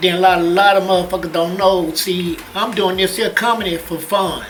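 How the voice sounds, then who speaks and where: Through noticeable background noise and audible room echo, a man talks at a fairly quick pace with a high pitch and monotone, flat intonation. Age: 60s. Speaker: comedian. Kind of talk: casual chat. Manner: stutter.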